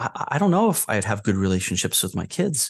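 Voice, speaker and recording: A man talks very fast, his pitch swinging very widely and his voice showing vocal fry. The background is quiet. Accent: American. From New Hampshire, US. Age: 40s. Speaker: podcast guest sharing recovery story. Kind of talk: personal interview, testimony. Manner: halting, repeats words.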